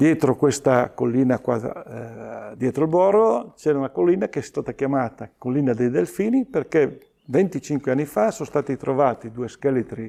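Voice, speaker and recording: A man's fairly high voice, dark and mellow in tone, moves at a moderate pace with lively intonation. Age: 70s. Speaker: local history enthusiast. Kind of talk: interview. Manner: halting.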